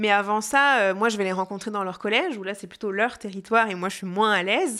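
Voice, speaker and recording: On a very clean recording with a silent background, a woman speaks at a fairly quick pace with a fairly high pitch and a bright, sharp tone. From France, Jura. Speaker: festival audience relations manager. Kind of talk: interview testimony. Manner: hesitant, many fillers.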